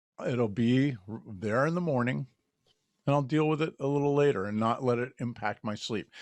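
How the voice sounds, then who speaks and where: Here a man talks at medium pitch and a moderate pace, with ordinary pitch variation. He has an unremarkable speaking voice, and the background is quiet. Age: 60s. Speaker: podcast host. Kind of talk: casual chat.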